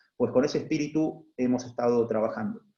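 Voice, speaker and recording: This man talks at a fairly quick pace in an Argentine accent. His voice sits at medium pitch with a dark, mellow tone. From Argentina. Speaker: HR executive, panelist. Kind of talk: panel talk. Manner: halting, many fillers and repetitions.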